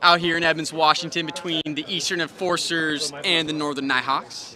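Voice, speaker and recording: A man speaks at a moderate pace in a high voice. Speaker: live-stream wiffle ball commentator. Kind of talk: live commentary.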